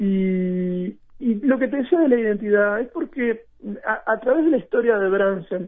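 Lively intonation at a moderate pace. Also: man. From Uruguay, Maldonado. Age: 40s. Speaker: writer and national library director. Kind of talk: radio interview. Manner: halting, many fillers and repetitions.

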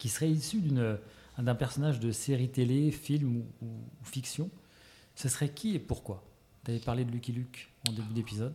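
Dark, mellow tone from a man at medium pitch, somewhat breathy, moderate pace, ordinary pitch variation and long, frequent pauses. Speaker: podcast host. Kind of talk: interview. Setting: guest's shop.

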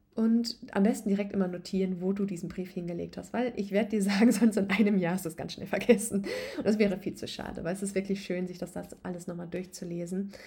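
A woman talks in a normal speaking voice at medium pitch with fairly even intonation. Her loudness swings widely. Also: hardly any pauses. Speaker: podcast host and yoga coach. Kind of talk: guided meditation. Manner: calm, soothing, slow and gentle; warm, intimate, addressing listener as du.

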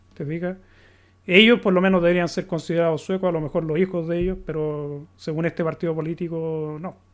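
A man with a Chilean accent talks at a fairly quick pace and a high pitch, keeping his intonation fairly even over a quiet background. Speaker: podcaster, recurring guest. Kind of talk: casual conversation.

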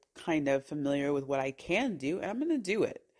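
An animated tone with an American accent comes across on a very clean recording with a silent background. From Southern California (San Bernardino). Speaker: travel podcaster. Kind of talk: casual monologue, travel storytelling. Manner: animated, conversational with filler words.

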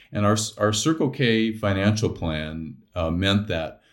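A man with an American accent talks at a fairly slow pace in an ordinary speaking voice. His pitch is fairly low and varies in an ordinary way. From Arizona, US. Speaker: explorer and writer. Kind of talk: interview conversation.

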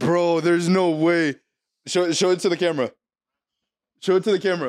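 A man's high, animated voice at a fairly quick pace, with ordinary pitch variation. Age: 20s. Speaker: podcast co-host. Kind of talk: casual chat.

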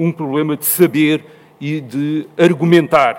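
A man with a European Portuguese accent speaks at a fairly high pitch. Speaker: panel speaker. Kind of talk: panel talk. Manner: hesitant, many fillers.

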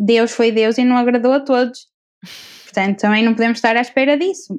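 At a moderate pace, a woman talks in a high pitch. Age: 20s. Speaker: architect and coach. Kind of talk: casual chat.

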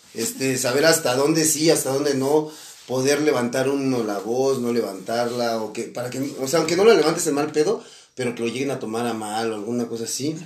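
Noticeable background noise behind a man speaking with ordinary pitch variation. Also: medium pitch for a man, fairly quick pace. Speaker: podcast co-host. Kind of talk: casual chat.

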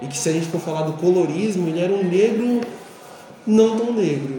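A man talks at a moderate pace with lively intonation. Audible room echo and noticeable background noise surround him. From Brazil, São Paulo periphery. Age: 40s. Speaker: physical education teacher. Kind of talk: interview.

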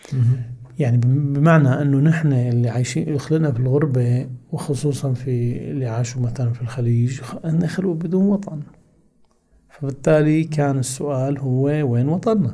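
Fairly high in pitch, a man talks in an ordinary speaking voice. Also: ordinary pitch variation, fairly slow pace. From Hama, Syria, raised in Kuwait. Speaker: think tank director. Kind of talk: casual interview, personal storytelling. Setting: podcast studio.

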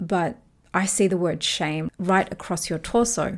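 On a very clean recording with a silent background, a woman with an Australian accent speaks at a medium pitch with ordinary variation. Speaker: author and podcast host. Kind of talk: solo podcast talk.

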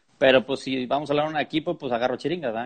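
Speaking at a very fast pace, a man has a medium pitch. His intonation stays fairly even. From Mexico, Monterrey (Nuevo León). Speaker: podcast host, charrería fan platform creator. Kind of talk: casual chat (live stream conversation). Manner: halting, many fillers.

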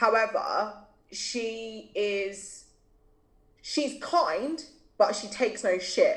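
Speaking very slowly with long, frequent pauses, a woman with a British accent uses a fairly high pitch and big swings in loudness. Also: lively intonation. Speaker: mental health blogger. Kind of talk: casual conversational interview.

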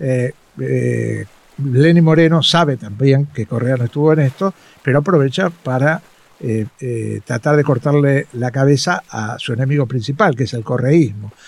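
An unremarkable speaking voice from a man at medium pitch, fairly slow pace and ordinary pitch variation, dry and close with no echo. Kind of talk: interview.

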